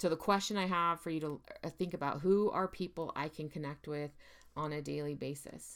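In a very clean recording with a silent background, a woman with an ordinary speaking voice talks at a fairly quick pace, her fairly low pitch showing ordinary variation. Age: 40s. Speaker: podcast host and mental health therapist. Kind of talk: solo monologue podcast.

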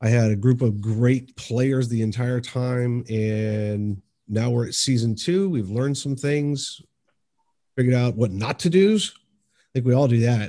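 A man speaks in a normal speaking voice at medium pitch, fairly slowly, with ordinary pitch variation. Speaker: game storyteller and campaign leader. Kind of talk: casual interview chat.

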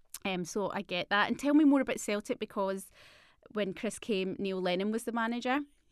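A woman's fairly high voice with a Scottish accent, fairly quick pace and ordinary pitch variation. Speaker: podcast host. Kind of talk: casual interview chat. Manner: warm, enthusiastic.

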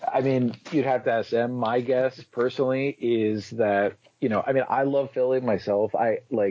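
A man with an American accent talks at a moderate pace in a plain, everyday voice of medium pitch. His intonation is fairly even and his loudness very even. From South Florida. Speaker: author. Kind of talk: casual interview.

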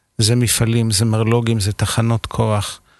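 A man speaks at a fairly slow pace in a medium pitch, an unremarkable speaking voice. The sound is dry and close with no echo, over a quiet background. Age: 50s. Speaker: architect. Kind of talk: casual chat.

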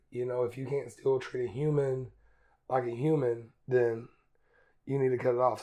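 A man with an Appalachian accent, medium pitch, a dark, mellow tone, monotone, flat intonation and a moderate pace. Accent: Appalachian Southern US. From Eastern Kentucky, US. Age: 20s. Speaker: student. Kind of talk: casual interview.

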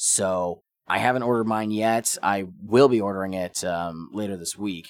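A man speaks in a fairly low pitch. His intonation stays fairly even at a fairly slow pace. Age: 20s. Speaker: podcast host. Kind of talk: casual solo monologue. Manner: halting, many fillers.

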